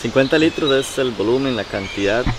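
Amid clear background noise, a man talks at a medium pitch and a fairly quick pace with lively intonation.

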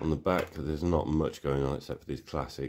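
Over a quiet background, a man with a very deep, low pitch speaks with vocal fry and fairly even intonation. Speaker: tech hobbyist youtuber. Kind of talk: product show-and-tell commentary. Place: home room.

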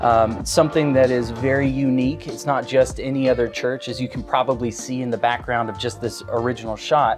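Clear music plays in the background as a man speaks at a moderate pace with fairly even intonation. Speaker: host from an integration company. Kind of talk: presenter intro, tech tour. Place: church. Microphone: lapel.

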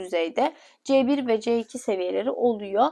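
A woman's dark, mellow tone comes through against a quiet background. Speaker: education consultant presenting English levels. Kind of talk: informal explainer video. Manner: casual, rambling with fillers.

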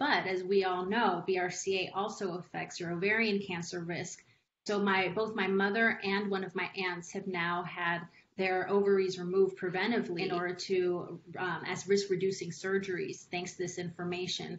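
With monotone, flat intonation, a woman talks at a moderate pace over light background noise. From Los Angeles, US (Mexican American). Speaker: patient advocate. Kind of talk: testimony. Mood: earnest, personal. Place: home room. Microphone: video call.

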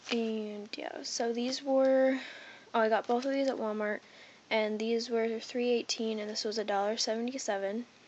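With light background noise behind her, a woman speaks at a moderate pace with fairly even intonation. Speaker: pet owner. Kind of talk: casual talk to camera. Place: home room. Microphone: phone near.

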